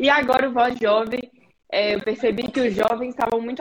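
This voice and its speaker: Pitched fairly high, a woman talks with a normal speaking voice and rather flat intonation. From Brazil, Belo Horizonte. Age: 20s. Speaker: podcast host and student. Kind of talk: interview. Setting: live stream.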